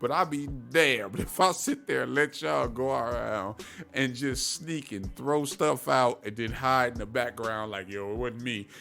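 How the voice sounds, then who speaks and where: Animated and bright, a man's sharp-toned voice sits at a medium pitch. He keeps a moderate pace with lively intonation. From Ohio, US (Cleveland). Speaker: podcast host. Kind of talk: casual monologue. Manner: halting, self-interrupting.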